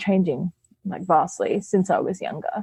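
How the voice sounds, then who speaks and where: Woman with an Australian accent, medium pitch and fairly even intonation. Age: young. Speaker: burlesque performer. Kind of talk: interview.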